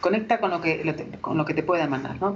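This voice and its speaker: A woman with lively intonation. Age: 40s. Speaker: HR director and author. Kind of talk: interview.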